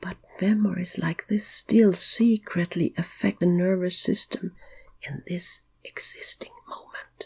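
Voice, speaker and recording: A soft-spoken woman whispers at a fairly slow pace, with big swings in loudness. The sound is dry and close, with no echo. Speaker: hypnotic meditation guide. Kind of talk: guided sleep hypnosis. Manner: slow, soft, whispered in places.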